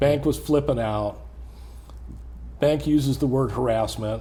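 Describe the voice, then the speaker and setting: The speaker is a man. He has an American accent. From Southern California. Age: 60s. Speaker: police volunteer. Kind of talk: interview answer.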